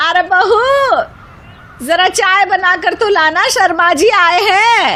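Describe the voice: A woman's put-on character voice, extremely high in pitch, bright and sharp in tone, at a slow pace. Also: ordinary pitch variation.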